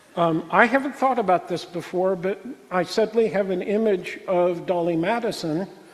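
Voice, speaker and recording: With noticeable background noise behind him, a man speaks at a moderate pace. He has a high pitch and an American accent. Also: ordinary pitch variation. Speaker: lecturer. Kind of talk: lecture Q&A. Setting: talk to a room audience, also streamed on Zoom. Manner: halting.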